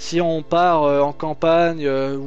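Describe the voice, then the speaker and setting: Music plays in the background. A man with a fairly high pitch speaks with fairly even intonation. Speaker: YouTuber. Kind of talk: casual explainer monologue. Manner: fast; hesitant, many fillers.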